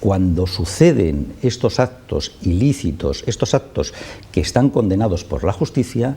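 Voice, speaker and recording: A man with a fairly low pitch and a dark, mellow tone speaks somewhat breathily, his pitch swinging very widely. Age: 60s. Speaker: spokesman for affected homeowners' association. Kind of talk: TV interview. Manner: impassioned.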